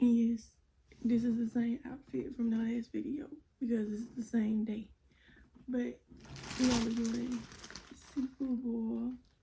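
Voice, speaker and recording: Soft-spoken and monotone, a woman with a fairly high pitch talks at a fairly slow pace with long, frequent pauses over noticeable background noise. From South Carolina. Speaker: YouTuber. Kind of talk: mukbang Q&A, casual chat. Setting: eating on camera. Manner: soft-spoken, quiet.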